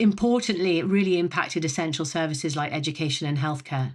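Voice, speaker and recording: Fairly quick speech with a British accent and ordinary pitch variation, in a very clean recording with a silent background. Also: woman. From Britain. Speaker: telecom executive. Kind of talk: podcast interview. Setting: podcast. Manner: halting, many fillers.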